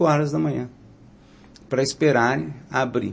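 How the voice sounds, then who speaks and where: Speech comes at a moderate speed. The speaker has a plain, everyday voice. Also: man. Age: 60s. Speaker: mayoral candidate. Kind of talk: interview. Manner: filler-heavy, frequent 'né'.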